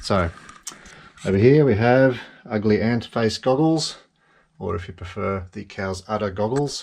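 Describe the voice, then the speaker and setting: With an Australian accent, the speaker talks at a fairly slow pace with ordinary pitch variation. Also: man. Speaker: FPV drone hobbyist. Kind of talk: casual build tutorial talk to camera. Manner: dry, rambling.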